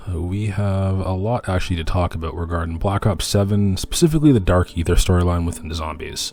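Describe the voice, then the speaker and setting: Over music in the background, a man with a very deep, low voice talks at a fairly quick pace with ordinary pitch variation. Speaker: gaming content creator. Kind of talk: casual gaming commentary.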